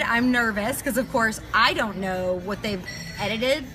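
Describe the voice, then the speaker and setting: Music plays in the background as a woman with a slight Texas accent speaks at a moderate pace and a fairly high pitch, with lively intonation and audible room echo. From New York. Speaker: chef. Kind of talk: casual interview. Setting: live stream at a restaurant. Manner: direct, outgoing.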